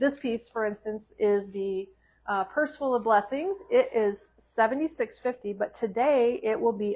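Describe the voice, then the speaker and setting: A woman speaks in an ordinary speaking voice at a fairly high pitch with ordinary pitch variation. Her pace is moderate, and the background is quiet. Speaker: shop owner presenting products. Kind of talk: live sales stream. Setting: live stream in a store.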